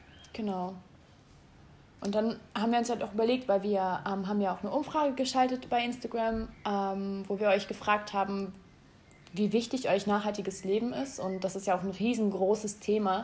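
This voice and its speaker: A woman with a medium pitch and a somewhat breathy voice talks at a moderate pace, keeping her intonation fairly even. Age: 20s. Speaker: podcast co-host, interior design student. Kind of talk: casual chat. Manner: hesitant, many fillers.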